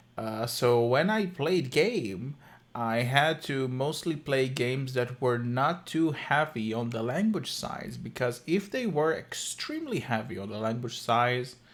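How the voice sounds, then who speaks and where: A man of medium pitch talks at a fairly slow pace with lively intonation and hardly any pauses. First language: Hebrew. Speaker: streamer. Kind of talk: live stream reaction commentary. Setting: live stream.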